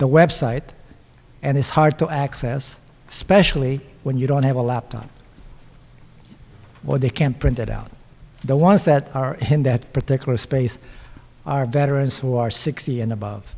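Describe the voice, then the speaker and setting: With a non-native accent and a somewhat breathy voice, the speaker moves at a moderate pace with ordinary pitch variation and long, frequent pauses. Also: man, medium pitch for a man. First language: not English. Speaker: panelist, veteran and local politician. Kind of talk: panel discussion. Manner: halting.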